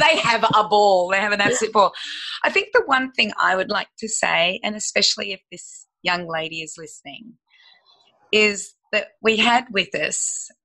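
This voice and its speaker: Speaking with an Australian accent, a woman uses a fairly high pitch and lively intonation at a moderate pace. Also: big swings in loudness. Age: 50s. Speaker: health educator and business owner. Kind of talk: podcast interview.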